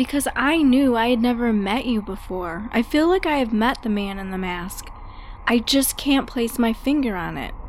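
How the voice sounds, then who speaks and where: Over noticeable background noise, the speaker moves at a moderate pace with lively intonation. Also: woman, high pitch for a woman. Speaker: voice actor playing young woman.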